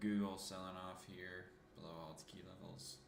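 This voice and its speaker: Mumbling at a moderate pace, a man with a very deep, low pitch is heard with audible room echo. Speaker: market analyst streamer. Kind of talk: live market commentary. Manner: casual, mumbling.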